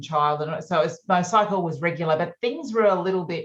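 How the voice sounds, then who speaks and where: At a moderate pace, a woman with an Australian accent speaks at medium pitch with ordinary pitch variation. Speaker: naturopath and menopause coach. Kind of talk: podcast interview.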